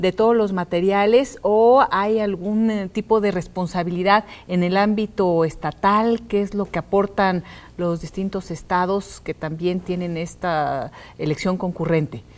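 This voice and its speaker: A woman talks at a fairly slow pace. Her medium pitch shows ordinary variation. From Mexico. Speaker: TV host. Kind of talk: TV interview. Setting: studio. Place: studio.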